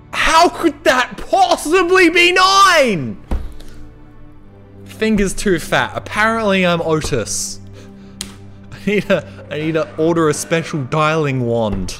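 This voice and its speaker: Over music in the background, the speech moves at a very slow pace with long, frequent pauses. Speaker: game streamer. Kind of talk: gameplay commentary.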